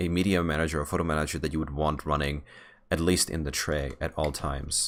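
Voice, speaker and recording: A man speaks at a fairly quick pace. His recording is very clean, the background silent. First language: Czech. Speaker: software developer vlogger. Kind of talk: casual vlog while gaming. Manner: halting, many fillers and restarts.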